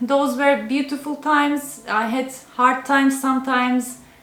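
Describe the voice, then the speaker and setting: A woman at high pitch and a fairly slow pace, with noticeable background noise. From Turkey. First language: Turkish. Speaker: cooking YouTuber. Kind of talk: casual Q&A video talk. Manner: halting, with fillers.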